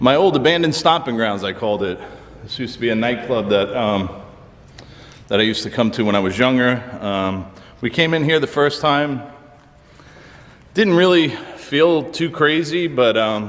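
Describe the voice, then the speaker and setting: Using lively intonation, a man speaks at a moderate pace with long, frequent pauses. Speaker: paranormal explorer vlogger. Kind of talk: casual vlog chat. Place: hall. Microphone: phone near.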